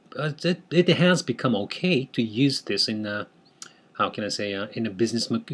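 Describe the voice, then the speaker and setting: In a Japanese accent, a man speaks at medium pitch and a moderate pace with lively intonation. The recording is very clean, with a silent background. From Japan, Tokyo. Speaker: language teacher. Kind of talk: tutorial. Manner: halting, many fillers.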